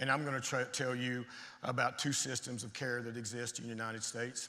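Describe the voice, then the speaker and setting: Very fast and bright with a sharp tone, a man with a Tennessee accent talks at a medium pitch, with audible room echo around him. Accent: Tennessee Southern. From Tennessee, US South. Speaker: addiction medicine physician. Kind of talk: conference talk. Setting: stage with audience. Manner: animated.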